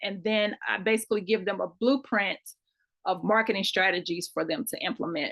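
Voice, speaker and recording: The speaker has a Kentucky accent and vocal fry. Delivery runs at a moderate pace with ordinary pitch variation. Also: woman. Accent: country Kentucky. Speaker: marketing consultant. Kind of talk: online class lecture.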